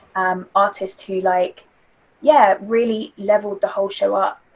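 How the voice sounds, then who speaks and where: A woman speaks with a London accent at a medium pitch. Her pace is fairly slow. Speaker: spoken word artist and theatre-maker. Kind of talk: interview answer.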